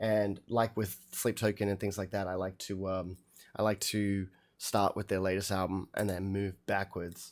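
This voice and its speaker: On a very clean recording with a silent background, a man speaks in an Australian accent. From Australia, Melbourne. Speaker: musician reacting to albums on livestream. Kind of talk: casual livestream chat. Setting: live stream. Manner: casual, hesitant with many fillers.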